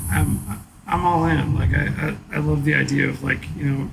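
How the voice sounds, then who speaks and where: A man speaks at a fairly quick pace. Audible room echo is present in the recording. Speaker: chef and restaurant owner. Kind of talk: casual chat. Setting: bar.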